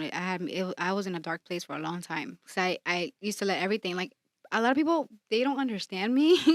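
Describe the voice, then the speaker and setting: A woman's medium-pitched voice in a very clean recording, silent in the background, with a dry, close sound with no echo. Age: 40s. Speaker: podcast co-host. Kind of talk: casual chat. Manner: loud when excited.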